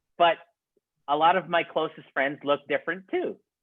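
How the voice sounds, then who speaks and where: The speaker is a man. He talks with a Saskatchewan accent. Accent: Regina, Saskatchewan (Canadian). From Regina, Saskatchewan, Canada. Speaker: documentary filmmaker. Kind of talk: webinar Q&A answer. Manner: hesitant, many fillers.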